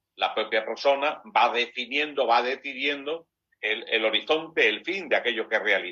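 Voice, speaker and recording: At a moderate pace, a man speaks in a bright, sharp tone at medium pitch, with ordinary pitch variation. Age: 60s. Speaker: priest and university lecturer. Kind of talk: interview. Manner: hesitant fillers, reflective.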